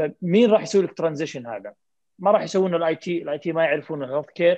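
This man talks at a very fast pace. His pitch is high for a man. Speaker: family physician and health informatics leader. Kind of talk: panel discussion.

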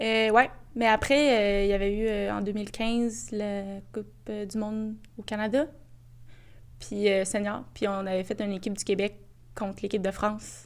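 On a very clean recording with a silent background, a woman at a medium pitch speaks with fairly even intonation and long, frequent pauses. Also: fairly slow pace. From Quebec, Boisbriand. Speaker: soccer player. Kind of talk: interview.

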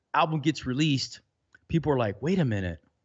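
A man talks at a fairly high pitch that swings very widely. His voice is somewhat breathy. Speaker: podcast host. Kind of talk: casual chat.

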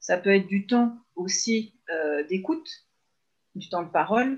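Here a woman speaks at a medium pitch with lively intonation. Her voice is somewhat breathy. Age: 30s. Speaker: mother who works with parents. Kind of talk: casual interview. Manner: hesitant, many fillers.

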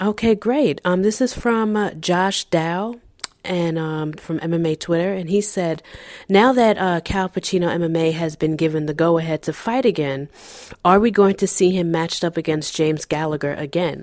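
Speaking at a moderate pace, a woman uses a normal speaking voice with a fairly low pitch and ordinary pitch variation. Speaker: podcast co-host. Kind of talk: casual chat.

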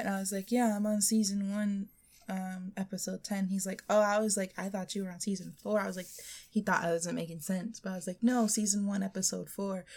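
At a fairly quick pace, a woman of medium pitch speaks in a somewhat breathy voice with monotone, flat intonation. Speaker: podcast co-host. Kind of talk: casual chat. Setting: home studio.

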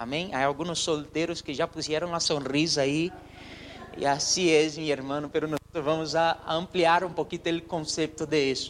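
Over noticeable background noise, a man with a fairly high pitch talks at a moderate pace in a monotone, flat intonation. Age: 30s. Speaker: pastor. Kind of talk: sermon.

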